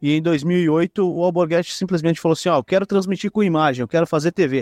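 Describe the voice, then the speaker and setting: A man speaks very fast at a high pitch, with ordinary pitch variation, very even loudness and hardly any pauses. The sound is dry and close with no echo, over a quiet background. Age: 20s. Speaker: podcaster and local football league president. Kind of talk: casual interview chat.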